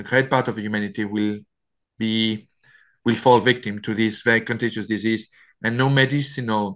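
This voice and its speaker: Medium in pitch, a man with a French accent speaks with monotone, flat intonation. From France. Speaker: author. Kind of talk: interview. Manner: halting.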